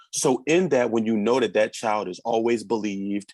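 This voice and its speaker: This man has an unremarkable speaking voice, pitched medium, with lively intonation. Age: 30s. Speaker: spoken word artist. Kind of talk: interview answer. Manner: casual, conversational.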